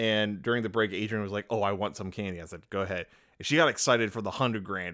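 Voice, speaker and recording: On a very clean recording with a silent background, a man speaks very fast in a bright, sharp tone at a fairly low pitch with ordinary pitch variation. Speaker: podcast co-host. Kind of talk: casual chat. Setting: home studio. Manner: animated.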